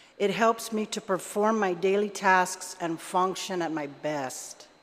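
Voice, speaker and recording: A woman at medium pitch talks with ordinary pitch variation over noticeable background noise. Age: 60s. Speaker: member of the public testifying at a legislative hearing. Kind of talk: public testimony. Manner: conversational, many fillers.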